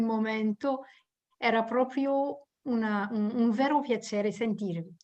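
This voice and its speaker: A woman at a very slow pace, her pitch fairly high. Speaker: webinar attendee. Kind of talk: casual thanks. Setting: online webinar.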